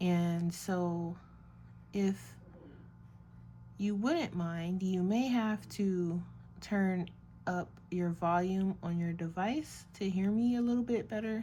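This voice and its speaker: A woman talks at a very slow pace with long, frequent pauses, her tone dark, mellow and relaxed, and somewhat breathy. Her loudness stays very even while her pitch varies in an ordinary way. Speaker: art YouTuber painting while chatting. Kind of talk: casual chat while painting. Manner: soft-spoken; relaxed, with many filler ums. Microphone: may be too quiet, listeners may need to turn volume up.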